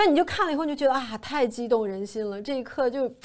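A woman's high-pitched voice at a very fast pace, with ordinary pitch variation, over a quiet background. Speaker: TV show host. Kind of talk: casual review commentary. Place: studio. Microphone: lapel.

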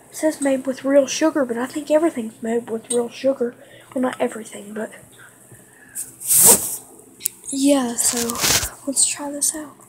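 With noticeable background noise behind her, a woman with high pitch speaks at a moderate pace in fairly even intonation, leaving long, frequent pauses. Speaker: first-time vlogger. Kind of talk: casual vlog chat. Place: home room. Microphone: phone near.

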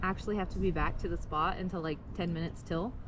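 Talking at a very fast pace, a woman sounds dry with no echo, over noticeable background noise. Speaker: vlogger. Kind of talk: casual vlog chat. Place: street. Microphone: phone near.

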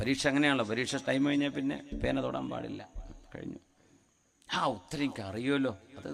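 There is vocal fry in this man's voice. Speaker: Islamic preacher. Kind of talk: sermon.

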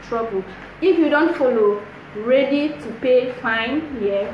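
A woman speaks at a fairly slow pace. Light background noise and audible room echo are present. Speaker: vlogger. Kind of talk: casual vlog advice. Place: home room. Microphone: phone near.

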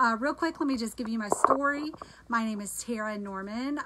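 Against noticeable background noise, a woman speaks at a moderate pace with ordinary pitch variation. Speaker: home cooking product seller. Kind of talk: live stream product demo chat. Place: kitchen. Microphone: phone near.

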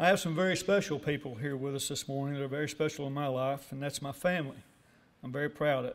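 A man with a fairly high voice and an Arkansas accent speaks at a very fast pace with fairly even intonation. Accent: Southern US, Arkansas. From US South, northeast Arkansas. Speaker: award recipient, businessman. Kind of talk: acceptance speech. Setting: breakfast banquet with audience. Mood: warm, grateful. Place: hall. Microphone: podium.

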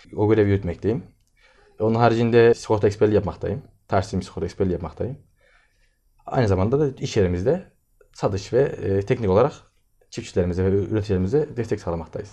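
Over a quiet background, a man with a fairly low pitch and a dark, mellow tone talks at a very fast pace with ordinary pitch variation, broken by long, frequent pauses. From Turkey. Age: 20s. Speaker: agricultural engineer and farm supply dealer. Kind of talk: interview. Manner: hesitant, many filler sounds. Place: office. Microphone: camera far.

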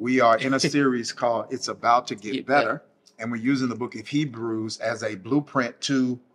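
Over music in the background, the speaker moves at a fairly quick pace with fairly even intonation. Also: man. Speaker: pastor hosting bible study. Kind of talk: bible study teaching. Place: studio.

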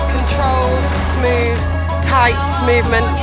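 A woman speaks over loud background music. Her voice sounds dry, with no echo. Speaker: presenter. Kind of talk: casual talk to camera. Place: open country.

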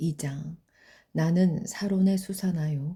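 A woman with a dark, mellow tone and a fairly low pitch speaks very slowly and somewhat breathily on a very clean recording with a silent background. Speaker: Bible reader. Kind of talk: reading aloud.

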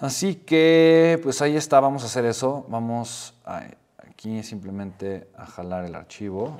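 Against a quiet background, a man talks at a fairly slow pace with lively intonation and big swings in loudness. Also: medium pitch for a man. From Mexico. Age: 30s. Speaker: entrepreneur and YouTuber; YouTuber. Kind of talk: tutorial. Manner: animated. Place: home room.

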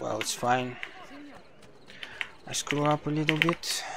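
A man at a fairly high pitch with fairly even intonation and a fairly slow pace, over noticeable background noise. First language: not English. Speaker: speedrunner streamer. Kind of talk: casual live stream commentary while gaming.

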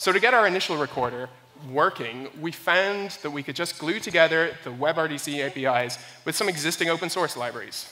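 At a fairly quick pace, a man speaks with a bright, sharp tone and fairly high pitch. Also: ordinary pitch variation.

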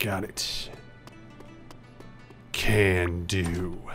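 Over music in the background, a man in a put-on character voice sounds gruff, using a very deep, low pitch and monotone, flat intonation. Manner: gruff, curt.

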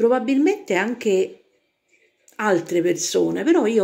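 Speaking very slowly, a woman with a fairly high pitch and a dark, mellow tone shows vocal fry and very wide pitch swings. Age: 60s. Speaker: self-described psychic and vlogger. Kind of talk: casual monologue to camera. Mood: indignant, gossipy commentary. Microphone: phone near.

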